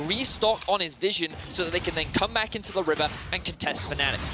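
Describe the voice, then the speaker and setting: A man's high-pitched voice at a fairly quick pace, with music in the background. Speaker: esports commentator. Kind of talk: live commentary. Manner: fast.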